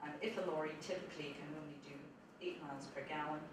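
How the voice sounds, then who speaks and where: The intonation stays fairly even, with audible room echo and noticeable background noise. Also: woman. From Scotland. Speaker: supercomputing centre director. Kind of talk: conference talk. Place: classroom.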